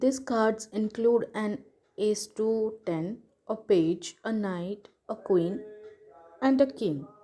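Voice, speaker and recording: With music in the background, a woman speaks at a very slow pace in a fairly high voice. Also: ordinary pitch variation. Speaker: tarot teacher. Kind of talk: tutorial.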